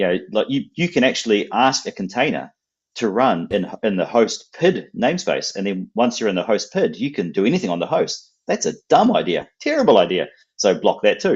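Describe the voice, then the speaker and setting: Someone with a strong New Zealand accent speaks at a moderate pace. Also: man. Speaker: software company representative. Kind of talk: technical interview on live stream. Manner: repetitive, stammering restarts.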